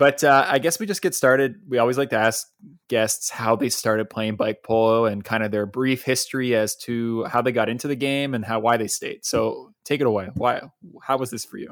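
This man talks fairly briskly, his mid-range pitch holding a fairly level tone. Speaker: podcast host. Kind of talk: casual chat. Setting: remote call. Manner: loud.

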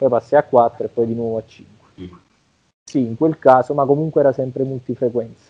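Talking at a fairly quick pace, a man with an ordinary speaking voice keeps a medium pitch and fairly even intonation while his loudness swings widely. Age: 30s. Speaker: bodybuilding champion and coach. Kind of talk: interview conversation.

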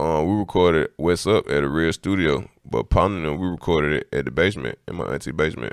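A man's very deep, low voice with vocal fry and ordinary pitch variation, very fast with hardly any pauses, on a very clean recording with a silent background. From Atlanta, College Park (South Side). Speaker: rapper. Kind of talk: casual chat.

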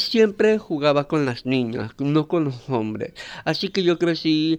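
A man speaks at a fairly slow pace. He has a normal speaking voice. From Kuna Yala, Panama. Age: 30s. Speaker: interviewee. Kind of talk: interview.

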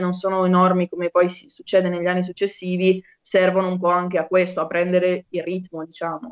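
Medium-pitched female speech delivered at a fairly quick pace. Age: 20s. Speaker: medical student. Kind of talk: casual chat.

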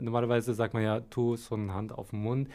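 A man is speaking here. He has a medium pitch and an Arabic accent. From Syria, Damascus. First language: Arabic (speaking German). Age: 20s. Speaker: media design trainee. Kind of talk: interview.

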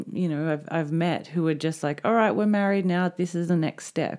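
Her voice is an unremarkable speaking voice, fairly low for a woman, with fairly even intonation at a moderate pace. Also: very clean recording, silent background. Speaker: podcast co-host. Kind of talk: casual chat.

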